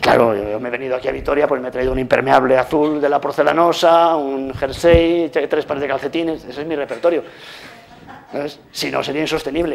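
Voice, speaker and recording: A man talks at a fairly quick pace with a fairly high pitch. Noticeable background noise sits behind him. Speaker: lecturer. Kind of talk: lecture. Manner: fast; animated.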